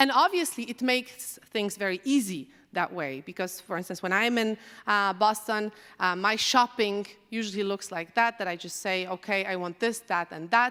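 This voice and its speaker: A woman speaks at a moderate pace and medium pitch. Her pitch varies in an ordinary way, and the recording is very clean with a silent background. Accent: Polish. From Poland. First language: Polish. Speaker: AI researcher. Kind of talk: conference talk. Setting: stage with audience.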